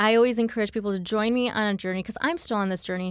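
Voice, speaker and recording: A woman with a normal speaking voice and an American accent talks at a fairly high pitch on a very clean recording with a silent background. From US Midwest, Michigan. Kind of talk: testimony.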